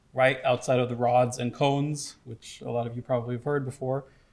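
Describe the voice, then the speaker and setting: In an American accent, a man with an ordinary speaking voice speaks at a moderate pace with fairly even intonation. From United States. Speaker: research scientist. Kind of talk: conference presentation.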